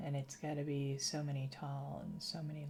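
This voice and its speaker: In an American accent, a woman speaks at a moderate pace with a very deep, low pitch and fairly even intonation. Noticeable background noise and audible room echo fill the recording. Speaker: gaming streamer. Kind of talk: casual livestream commentary while gaming.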